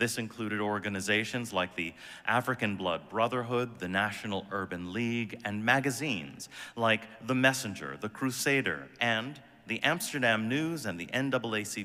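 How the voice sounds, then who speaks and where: A man talks at a moderate pace in an unremarkable speaking voice. His pitch sits at a medium level, with lively intonation. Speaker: guest minister. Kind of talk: sermon delivered to a congregation.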